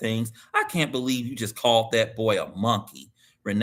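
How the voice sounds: There is a natural reading voice against a quiet background.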